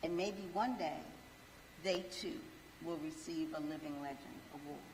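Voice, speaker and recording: Lively intonation comes through audible room echo and noticeable background noise. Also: woman. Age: 60s. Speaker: event co-chair. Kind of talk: ceremonial speech.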